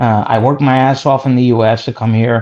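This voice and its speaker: The speaker is a man with a New Jersey accent. His tone is dark and mellow. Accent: New Jersey American. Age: 40s. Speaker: caller. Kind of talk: casual chat. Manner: animated.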